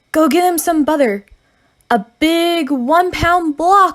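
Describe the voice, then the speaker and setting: Using a put-on character voice, a woman talks at a fairly slow pace with an extremely high pitch. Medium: read story.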